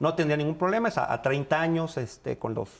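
A man speaks fairly quickly with ordinary pitch variation. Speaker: housing fund executive. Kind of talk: radio interview. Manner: halting, many fillers.

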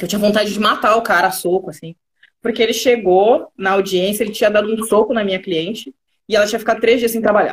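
Somewhat breathy, a woman talks at a very fast pace with ordinary pitch variation. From Rio Grande do Sul, Brazil (Pelotas). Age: 30s. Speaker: digital transformation specialist. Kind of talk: live interview.

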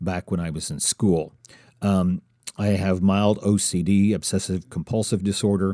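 In a very clean recording with a silent background, a man with a very deep, low voice and dark, mellow tone speaks at a moderate pace with fairly even intonation. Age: 50s. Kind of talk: solo podcast monologue. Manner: halting, frequent fillers and repeats.

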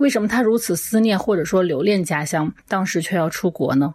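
A woman's plain, everyday voice with lively intonation at a fairly quick pace. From Zhejiang, China. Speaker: film podcast guest. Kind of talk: prepared film review.

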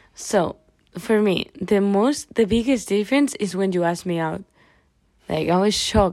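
With a Spanish accent, a woman of medium pitch speaks at a fairly slow pace with ordinary pitch variation. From Spain. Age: 20s. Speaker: podcast host, student. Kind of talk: casual chat.

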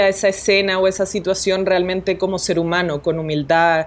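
Over noticeable background noise, a woman with a Colombian accent and a medium pitch speaks at a fairly quick pace. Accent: Latin American (Colombian). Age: young. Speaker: documentary photographer. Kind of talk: interview. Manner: animated.

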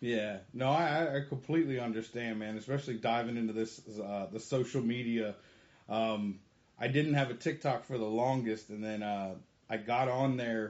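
A man's medium-pitched, unremarkable speaking voice at a moderate pace, with ordinary pitch variation. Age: 30s. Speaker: podcast host, military service member. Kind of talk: casual interview.

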